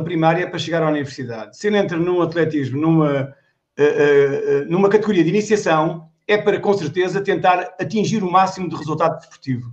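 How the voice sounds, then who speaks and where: A man talks at a fairly quick pace. His voice is high in pitch with ordinary pitch variation. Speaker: retired athletics coach, former Olympic hurdler. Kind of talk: casual chat.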